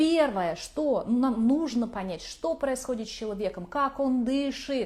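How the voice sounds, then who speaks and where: A woman talks at a very slow pace in a high pitch with lively intonation and hardly any pauses. Room echo is audible. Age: 40s. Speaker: craniosacral therapist, course author. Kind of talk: online lecture.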